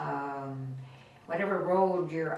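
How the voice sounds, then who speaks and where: A woman's very deep, low voice at a very slow pace, with ordinary pitch variation, audible room echo and noticeable background noise. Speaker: grandmother interviewed about her life. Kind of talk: life-story interview. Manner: halting.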